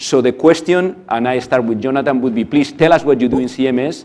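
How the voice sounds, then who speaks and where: This man has a non-native accent, a medium pitch and ordinary pitch variation. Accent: foreign, noticeable. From outside the US. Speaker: panel moderator, pharma executive. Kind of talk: conference panel moderation.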